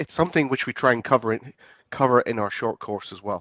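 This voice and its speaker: With a British accent and a bright, sharp tone, a man of medium pitch speaks at a fairly quick pace with ordinary pitch variation, the sound dry and close with no echo against a quiet background. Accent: UK. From UK. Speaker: compliance expert, former police officer. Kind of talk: interview. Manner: halting, frequent repetitions.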